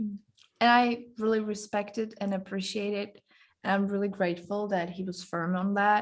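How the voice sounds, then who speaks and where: This woman speaks with a non-native accent at a medium pitch. Her pace is moderate and her intonation monotone and flat. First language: not English. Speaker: guest on relationships podcast. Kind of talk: casual interview chat.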